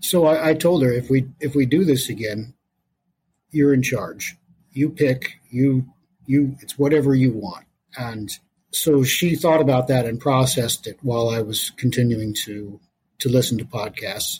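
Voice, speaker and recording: A somewhat breathy male voice at a moderate pace and medium pitch. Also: ordinary pitch variation. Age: 50s. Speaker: podcast guest sharing personal story. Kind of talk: casual interview, personal testimony.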